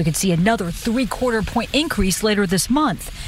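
Lively intonation from a woman with a fairly high voice, moderate in pace, noticeable background noise underneath. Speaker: TV news correspondent. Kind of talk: news report.

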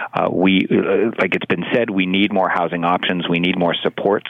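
Over noticeable background noise, a man with a Canadian accent speaks at a moderate pace in a very deep, low pitch, his intonation monotone and flat and his loudness very even. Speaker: city councillor. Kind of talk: radio interview.

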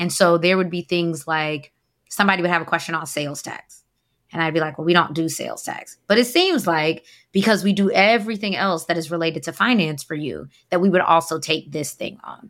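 A plain, everyday voice from a woman, fairly low-pitched and fairly quick, with ordinary pitch variation, in a very clean recording with a silent background. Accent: American. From US South, Atlanta. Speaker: accountant and firm owner. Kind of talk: interview.

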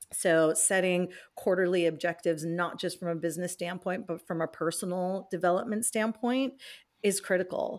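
In an American accent, a woman talks in a plain, everyday voice at medium pitch. Her pace is moderate and her intonation fairly even. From California, US. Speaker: business executive. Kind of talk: interview. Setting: remote interview from home.

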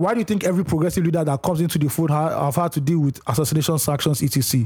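Animated in tone, a man talks very fast with a fairly high pitch. His pitch varies in an ordinary way. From Nigeria. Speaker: podcast co-host. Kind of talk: casual chat.

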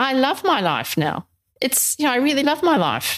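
The recording is very clean. A woman talks over a silent background. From New Zealand. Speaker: grief and wellbeing coach. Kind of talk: interview, personal story.

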